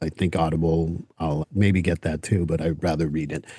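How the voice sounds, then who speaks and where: Here a man talks with a French Canadian accent at a moderate pace. The background is quiet. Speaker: podcast host. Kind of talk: interview. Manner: casual.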